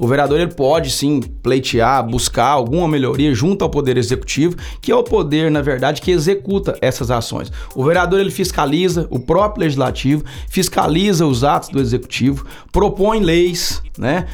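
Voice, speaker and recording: With very even loudness, a man of fairly high pitch speaks at a moderate pace with ordinary pitch variation. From Brazil, Uberlândia, Minas Gerais. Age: 40s. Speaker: city councillor. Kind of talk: podcast interview. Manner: halting, with frequent fillers.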